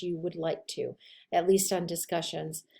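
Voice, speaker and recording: A woman speaks at a moderate pace in a dark, mellow tone. Her intonation is monotone and flat. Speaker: college instructor. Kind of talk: recorded lecture. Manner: casual, conversational.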